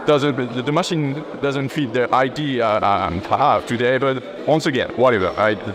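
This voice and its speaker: A man in a French accent, hardly any pauses, ordinary pitch variation, and noticeable background noise. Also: medium pitch for a man, moderate pace. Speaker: natural bodybuilder and YouTuber. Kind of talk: gym training explanation. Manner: halting.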